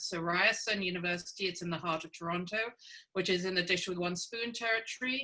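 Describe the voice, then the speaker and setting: A woman's medium-pitched voice varies in an ordinary way as noticeable background noise carries on behind her. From England, Cambridge. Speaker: scientist and university leader. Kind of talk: webinar presentation. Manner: halting, many fillers.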